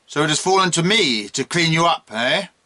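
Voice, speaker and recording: In a gruff, put-on character voice pitched high for a man, he talks at a fairly quick pace with lively intonation, very even loudness, and a dry, close sound with no echo. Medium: read story. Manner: brusque, commanding.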